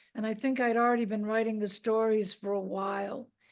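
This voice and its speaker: A woman with a Boston accent at a moderate pace, set against a quiet background. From Boston, US. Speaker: rock photographer and author. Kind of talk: interview conversation. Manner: hesitant, many fillers.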